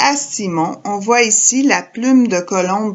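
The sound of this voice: With ordinary pitch variation, the voice reads in an unforced way.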